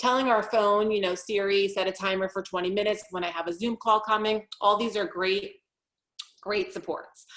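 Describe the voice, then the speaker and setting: A woman talks at a medium pitch, keeping her intonation fairly even. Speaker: executive functioning coach. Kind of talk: webinar presentation. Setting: online webinar. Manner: fast.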